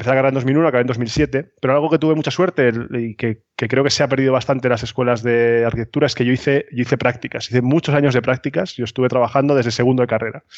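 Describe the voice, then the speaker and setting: In a dry, close sound with no echo and a quiet background, a man with a medium pitch talks at a very fast pace. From Spain, Cartagena (Murcia). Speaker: architect, consultancy founder. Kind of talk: interview. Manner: halting, many repetitions.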